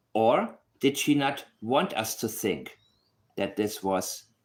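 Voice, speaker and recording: The recording is very clean, with a silent background. A man speaks at medium pitch with lively intonation. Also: long, frequent pauses. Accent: non-native. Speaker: true crime commentator. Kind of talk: casual video commentary. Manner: animated.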